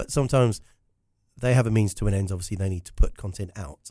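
A man with a southern English accent talks at a very fast pace, his fairly low voice dark, mellow and somewhat breathy. His intonation stays fairly even, and the recording is very clean with a silent background. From South Africa. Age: 50s. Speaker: business storytelling consultant. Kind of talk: casual interview chat.

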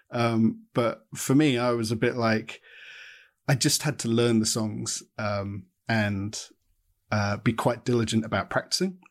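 At a fairly slow pace, a man with a southern English accent talks with ordinary pitch variation. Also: medium pitch for a man. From southern England, Watford. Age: 30s. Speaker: artist and former band musician. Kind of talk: casual interview chat. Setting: video call.

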